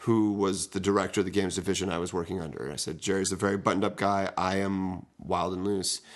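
A man's plain, everyday voice, fairly low in pitch and fairly quick in pace, over a quiet background. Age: 30s. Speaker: podcast co-host, game designer. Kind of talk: casual chat.

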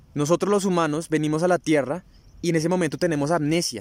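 A man speaks in a high pitch. His pace is fairly quick. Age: 20s. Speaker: spiritual podcast host. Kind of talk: spiritual talk. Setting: outdoors in a park.

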